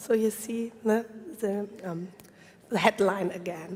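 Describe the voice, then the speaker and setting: A woman with a German accent at a fairly slow pace, ordinary variation in pitch, and noticeable background noise. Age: 40s. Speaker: urban planner. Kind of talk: conference presentation. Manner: halting.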